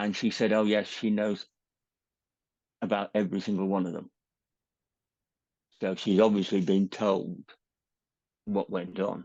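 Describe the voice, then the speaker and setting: This man has a southern English accent and a fairly low pitch, speaking at a moderate pace with long, frequent pauses in a monotone, flat intonation. The sound is dry and close with no echo, against a quiet background. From England. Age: 60s. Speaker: retired teacher. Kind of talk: personal testimony interview.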